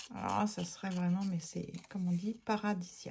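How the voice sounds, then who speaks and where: Somewhat breathy, with a dark, mellow tone, a woman speaks with ordinary pitch variation. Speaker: art therapy craft youtuber. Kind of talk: casual craft tutorial chat. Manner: hesitant, many fillers; no longer pushing voice, quieter than before.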